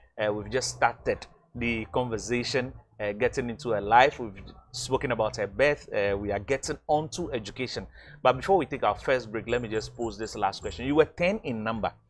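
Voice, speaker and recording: Speaking at a fairly quick pace, a man with a medium pitch shows ordinary pitch variation and vocal fry. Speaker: TV talk show host. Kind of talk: interview. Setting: studio.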